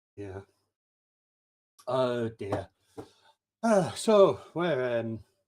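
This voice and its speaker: A man speaks at medium pitch. His voice swings very widely in pitch. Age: 60s. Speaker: livestream quiz host. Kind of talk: casual chat.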